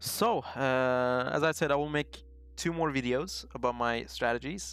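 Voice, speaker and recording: A man with a non-native accent at a moderate pace, with music in the background. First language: not English. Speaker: trading YouTuber. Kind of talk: casual tutorial talk. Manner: halting, many fillers.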